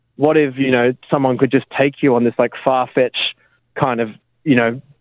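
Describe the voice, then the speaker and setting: Speaking in an Australian accent, a man at medium pitch moves at a fairly quick pace with fairly even intonation. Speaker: app co-founder. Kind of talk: radio interview. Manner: mumbling.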